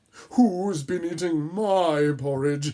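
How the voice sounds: This is a put-on character voice at a middle pitch. Light background noise can be heard.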